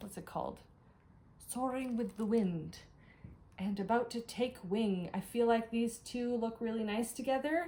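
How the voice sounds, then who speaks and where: Speaking with a Canadian accent, a woman has a fairly high, somewhat breathy voice with ordinary pitch variation. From Canada, Ottawa. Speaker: cross-stitch vlogger. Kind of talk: casual vlog haul. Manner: fast; animated.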